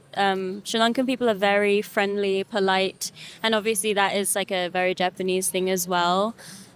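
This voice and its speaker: Speaking with a London accent, a woman holds a medium pitch and a monotone, flat intonation at a moderate pace. Her loudness stays very even, and the recording is very clean against a silent background. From London, England. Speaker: singer. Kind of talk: interview.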